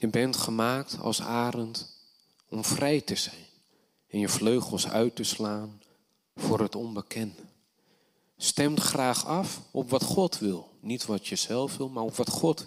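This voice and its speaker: A man's medium-pitched voice shows ordinary pitch variation as he talks at a very slow pace. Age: 30s. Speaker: preacher. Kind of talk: sermon.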